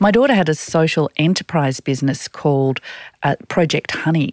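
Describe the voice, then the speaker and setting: With an Australian accent, a woman speaks in a fairly low voice and lively intonation, recorded very cleanly against a silent background with a dry, close sound and no echo. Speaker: executive and career coach, podcast co-host. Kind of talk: casual chat. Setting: studio.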